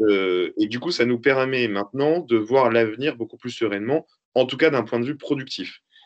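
Ordinary pitch variation runs through a man's normal speaking voice, at a medium pitch and fairly slow pace. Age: 30s. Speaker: entrepreneur, company owner. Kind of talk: interview.

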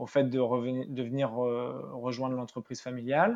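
Here a man talks at medium pitch. His pace is fairly slow. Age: 30s. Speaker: company director. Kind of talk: interview. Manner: halting, many hesitations.

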